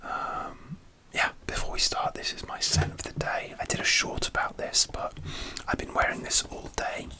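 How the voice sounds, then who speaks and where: A man whispering with a British accent, amid noticeable background noise. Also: moderate pace. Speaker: ASMR content creator. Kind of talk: whisper ramble story time.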